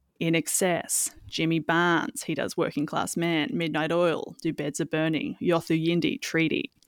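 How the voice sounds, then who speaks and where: A woman with an Australian accent speaks at a fairly slow pace in a fairly low voice, recorded very cleanly against a silent background. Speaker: podcast co-host. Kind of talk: casual chat.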